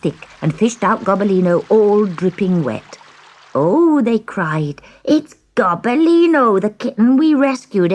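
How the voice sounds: Read in a natural reading voice, the speech has lively intonation.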